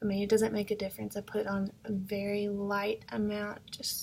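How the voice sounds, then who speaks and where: The woman is soft-spoken. She delivers everything in a monotone, flat intonation. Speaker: makeup vlogger and product seller. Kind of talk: makeup tutorial. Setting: at home in apartment. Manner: soft-spoken, keeping voice down; casual, hesitant with fillers.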